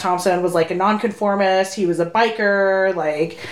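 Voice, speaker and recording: A woman speaks at a moderate pace with an American accent. Her pitch is medium, and it's a normal speaking voice. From Sacramento, California. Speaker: podcast co-host. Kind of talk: casual chat. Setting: home recording.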